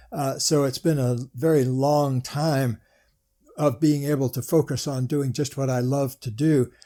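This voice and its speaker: Fairly high for a man, this voice has a dark, mellow tone and a fairly slow pace. The recording is very clean, with a silent background. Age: 70s. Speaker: author and relationship coach. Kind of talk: interview. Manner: animated.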